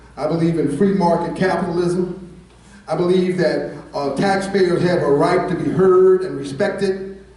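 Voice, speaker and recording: Through audible room echo and noticeable background noise, a man talks at a moderate pace in a high pitch. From United States. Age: 60s. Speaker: political candidate. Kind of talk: campaign speech. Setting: candidate forum with audience. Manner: relaxed; animated.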